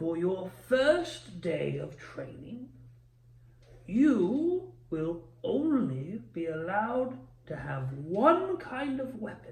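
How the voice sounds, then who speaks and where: A man performs in a put-on character voice. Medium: actual play. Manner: kindly, patient.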